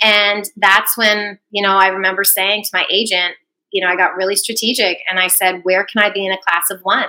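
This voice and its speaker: A woman with a Canadian accent speaks at a medium pitch in a bright, sharp tone with monotone, flat intonation. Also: fairly quick pace. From Canada. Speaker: sports broadcaster. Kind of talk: interview.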